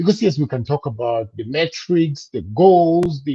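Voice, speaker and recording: With a dark, mellow tone, a man speaks in a high voice at a fairly slow pace. His pitch swings very widely. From Cameroon. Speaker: business coach. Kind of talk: interview.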